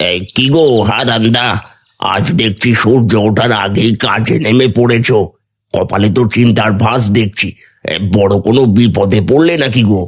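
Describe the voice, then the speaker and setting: A man's cartoonish character voice at a moderate pace, with very even loudness. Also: medium pitch for a man. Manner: sly, prying.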